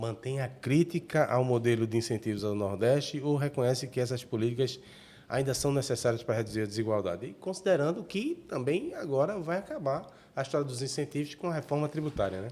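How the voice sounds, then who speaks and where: A man's dark, mellow tone at a fairly quick pace, in a very clean recording with a silent background. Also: medium pitch for a man, lively intonation. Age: 60s. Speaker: journalist, podcast host. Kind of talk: interview.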